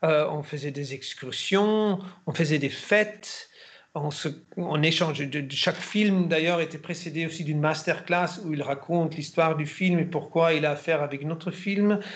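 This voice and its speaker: In an ordinary speaking voice, a man talks at a fairly slow pace with fairly even intonation and a fairly high pitch. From Germany. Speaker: actor. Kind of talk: interview.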